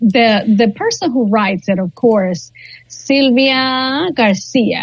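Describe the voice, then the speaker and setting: A woman speaks with a Spanish accent in a fairly high pitch. Her intonation is lively, and her pace is very slow. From Guatemala. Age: 40s. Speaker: ESL teacher. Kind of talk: interview.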